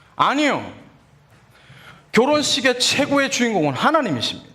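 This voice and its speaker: There is audible echo from the room. A man is speaking. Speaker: pastor. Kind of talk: sermon.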